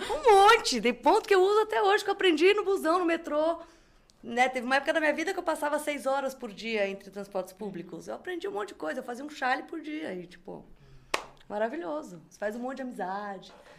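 Over noticeable background noise, a woman talks very fast at a high pitch, with very wide pitch swings and big shifts in loudness. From Brazil. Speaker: crochet designer and artisan. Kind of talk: casual chat.

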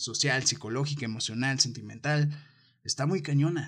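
A man's voice, fairly high in pitch. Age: 20s. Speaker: podcast host. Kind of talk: casual monologue. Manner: animated.

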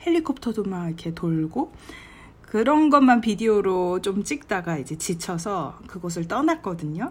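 Speaking at a fairly slow pace, a woman has a medium pitch and a somewhat breathy voice. Her intonation is lively. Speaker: travel vlogger. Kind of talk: travel diary monologue. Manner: relaxed conversational.

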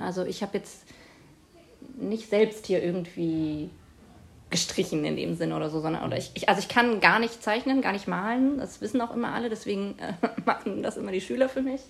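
A woman's voice, medium in pitch, moves at a moderate pace. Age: 30s. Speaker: teacher. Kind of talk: interview. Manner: hesitant, many fillers.

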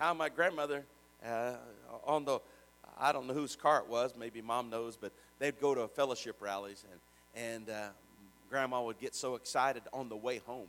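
A man with a plain, everyday voice, medium in pitch, with ordinary pitch variation and an American accent. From Richmond, Indiana. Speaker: pastor. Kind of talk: sermon, preacher in full flow with call-and-response. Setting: church with congregation. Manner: fervent, rising, exhorting the congregation; repetitive, rhythmic praise with shouted amens.

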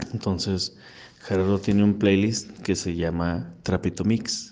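A man's very deep, low voice with a dark, mellow tone and fairly even intonation. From Ciudad Juárez, northern Mexico. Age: 30s. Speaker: industrial designer and podcaster. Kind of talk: recorded voice message answers. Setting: recorded separately, voice message.

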